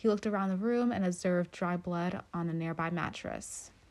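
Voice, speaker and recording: A woman's plain, everyday voice at medium pitch, fairly quick in pace, with fairly even intonation. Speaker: true crime podcast host. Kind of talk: true-crime narration, reading court documents aloud.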